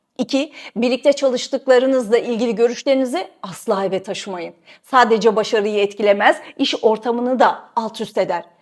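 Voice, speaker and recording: Here a woman has a plain, everyday voice and a fairly high pitch. She moves at a moderate pace with ordinary pitch variation. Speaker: journalist and video host. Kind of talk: scripted narration.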